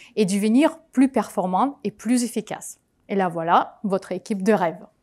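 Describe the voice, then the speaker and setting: This woman's voice sits fairly high, with ordinary pitch variation. The recording is very clean, with a silent background. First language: not French (speaking French). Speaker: conference speaker, project manager. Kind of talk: conference talk.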